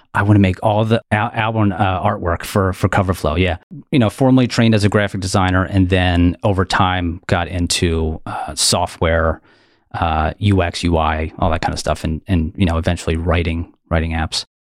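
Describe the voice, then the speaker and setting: A man with a Philadelphia accent speaks at a moderate pace in a very deep, low pitch, his intonation fairly even. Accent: Philadelphia (Delaware County). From US Northeast, Philadelphia suburbs. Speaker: app developer and YouTuber. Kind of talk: casual interview. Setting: video call.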